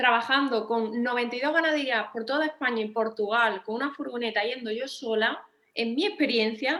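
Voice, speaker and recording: Bright and sharp, a woman's high-pitched voice carries an Andalusian accent. She keeps to a moderate pace. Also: ordinary pitch variation. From Andalusia, Spain. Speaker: veterinarian and writer. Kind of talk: panel discussion. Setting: auditorium with audience. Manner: hesitant, with many repetitions.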